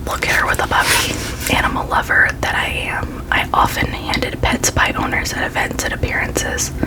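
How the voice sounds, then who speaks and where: Someone whispers at a moderate pace. There is noticeable background noise. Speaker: ASMR creator. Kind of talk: reading aloud. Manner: whispered.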